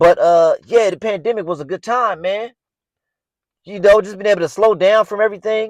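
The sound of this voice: At a moderate pace, a man speaks at a high pitch with ordinary pitch variation, in a dry, close sound with no echo.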